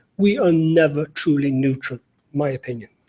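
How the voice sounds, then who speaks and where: Speaking with an Irish accent, a man uses a fairly high pitch and ordinary pitch variation. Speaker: NGO security director. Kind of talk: panel talk. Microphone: remote link with audio problems.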